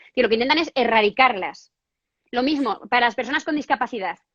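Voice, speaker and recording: Dry and close with no echo, a woman's high-pitched voice comes fast and animated, with a bright, sharp tone and ordinary pitch variation. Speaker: feminist activist interviewee. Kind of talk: interview on feminist theory.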